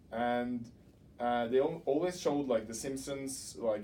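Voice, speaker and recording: With a Norwegian accent, a man talks at a fairly slow pace in a medium-pitched, dark, mellow tone, with audible room echo. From Norway, Oslo. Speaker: doctoral student. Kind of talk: interview.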